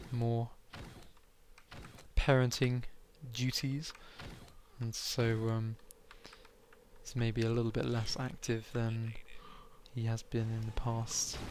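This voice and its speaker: At a very slow pace, a man speaks in a monotone, flat intonation broken by long, frequent pauses. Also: medium pitch for a man. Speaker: esports commentator. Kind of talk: live commentary.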